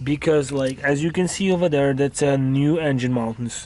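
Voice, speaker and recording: This man has a fairly high voice with a dark, mellow tone. He speaks with a non-native accent. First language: not English. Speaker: car hobbyist vlogger. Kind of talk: casual tutorial vlog. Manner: halting.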